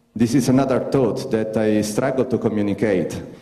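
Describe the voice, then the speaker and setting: The speaker has an Italian accent, with noticeable background noise and audible room echo. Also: man. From Italy. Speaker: astronaut. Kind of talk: conference talk. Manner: halting.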